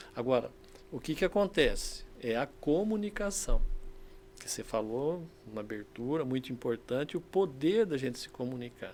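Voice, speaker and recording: Fairly high in pitch, a man talks at a moderate pace with very wide pitch swings. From Brazil, interior of São Paulo state (São José do Rio Preto region). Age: 70s. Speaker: sales consultant and university professor. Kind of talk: podcast interview.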